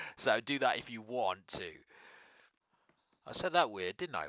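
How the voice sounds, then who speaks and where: The speaker is a man. He talks in an English accent. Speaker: fantasy football YouTuber. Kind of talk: casual vlog commentary. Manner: slow; hesitant, many fillers.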